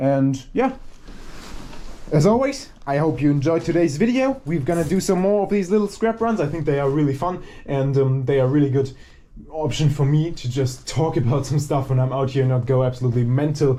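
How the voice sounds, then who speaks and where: A man with a fairly high, somewhat breathy voice and a dark, mellow tone talks at a fairly quick pace with ordinary pitch variation. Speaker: scrapping video creator. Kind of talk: casual vlog narration while working. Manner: fast.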